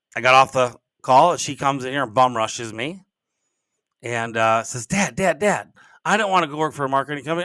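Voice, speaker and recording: A man speaks loudly at a fairly quick pace, with medium pitch and lively intonation. His tone is bright and sharp, and the recording is very clean with a silent background. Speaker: podcast host and business coach. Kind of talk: casual podcast monologue. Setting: home office. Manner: rambling, halting with many restarts.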